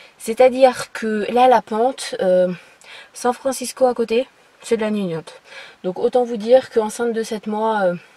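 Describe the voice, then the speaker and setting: Pausing long and often, a woman speaks at a fairly slow pace with a fairly high pitch and ordinary pitch variation. Her loudness swings widely, and there is noticeable background noise. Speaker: lifestyle vlogger. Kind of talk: casual vlog monologue. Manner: hesitant, many fillers.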